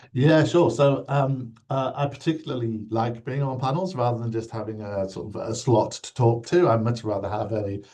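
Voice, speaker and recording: With a British accent, a man talks at a moderate pace with hardly any pauses, his medium pitch showing ordinary variation in a somewhat breathy, dark, mellow tone. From UK. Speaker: insurance regulator, former nurse. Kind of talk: interview. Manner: hesitant, many fillers.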